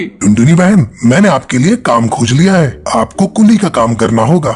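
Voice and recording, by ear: A man does a cartoonish character voice, fairly high-pitched, with very wide pitch swings over light background noise. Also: moderate pace.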